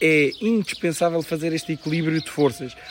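A man speaks in a fairly high pitch with fairly even intonation. Noticeable background noise runs behind him. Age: 30s. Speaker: local election candidate. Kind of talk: interview.

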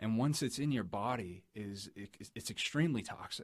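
Speaking in an American accent, a man uses an ordinary speaking voice at medium pitch with lively intonation. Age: 20s. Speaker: car salesman, podcast guest. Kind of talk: casual interview.

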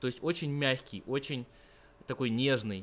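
An unremarkable speaking voice from a man, medium in pitch and moderate in pace. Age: 20s. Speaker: university student of Persian. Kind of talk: interview.

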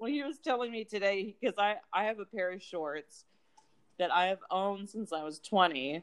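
A woman's plain, everyday voice, medium in pitch, with lively intonation at a moderate pace. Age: 30s. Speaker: podcast co-host. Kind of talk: casual chat.

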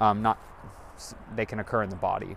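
This voice belongs to a man with an American accent. It sits fairly low. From US West Coast, Monterey, California. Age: 20s. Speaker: solo podcaster. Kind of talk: casual solo monologue. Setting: home kitchen; outdoors, walking to a store. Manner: droning.

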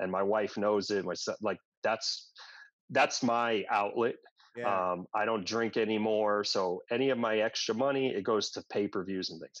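In a normal speaking voice, a man with an American accent talks at a moderate pace and a fairly low pitch, with ordinary pitch variation and a quiet background. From New York suburbs (Westchester County). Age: 40s. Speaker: gym owner and fitness trainer. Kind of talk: casual interview conversation.

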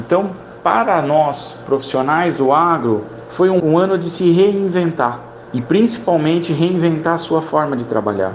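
A man at a fairly high pitch, lively intonation and a fairly slow pace, with noticeable background noise and audible room echo. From São Paulo state, Brazil. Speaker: animal scientist. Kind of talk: radio interview.

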